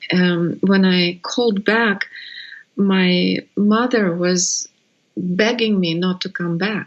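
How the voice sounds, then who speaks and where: Very slowly, a woman with a Russian accent speaks at medium pitch with fairly even intonation. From Russia (Siberia). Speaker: birth educator. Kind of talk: interview. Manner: halting.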